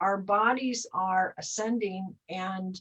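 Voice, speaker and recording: A woman talks in an ordinary speaking voice. Her pitch varies in an ordinary way. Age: 60s. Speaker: spiritual talk show co-host. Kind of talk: casual chat. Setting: live stream.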